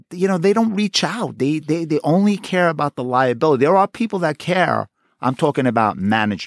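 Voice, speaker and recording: A man with a Queens accent talks at a very fast pace with very wide pitch swings. The recording is very clean, the background silent. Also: hardly any pauses. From Queens, New York City. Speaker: retired homicide detective. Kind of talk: interview. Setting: studio.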